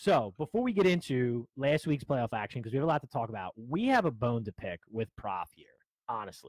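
A man with a plain, everyday voice talks at a medium pitch and fairly quick pace, with lively intonation and big swings in loudness. The very clean recording has a silent background and a dry, close sound with no echo. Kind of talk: casual chat. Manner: profane, casual.

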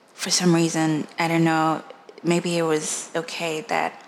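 A woman with a very deep, low pitch speaks at a fairly slow pace in monotone, flat intonation over noticeable background noise. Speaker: podcast host. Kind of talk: personal testimony monologue. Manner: halting, repeating and trailing off; quiet, low voice.

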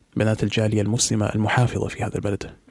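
A man's fairly low voice at a fairly quick pace with noticeable background noise. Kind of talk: recorded voice message monologue. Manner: formal Standard Arabic.

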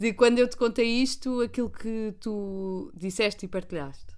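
A woman speaks at a medium pitch with a European Portuguese accent. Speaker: podcast co-host. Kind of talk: casual chat.

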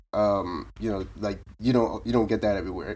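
With an American accent and a plain, everyday voice, a man talks at a moderate pace and a fairly low pitch. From Boston area, Massachusetts (Roxbury, Brockton). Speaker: commercial real estate agent. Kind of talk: casual interview.

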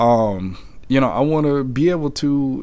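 A man of medium pitch, lively intonation and very slow pace, with audible room echo. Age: 30s. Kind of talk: personal testimony monologue. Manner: halting, many fillers.

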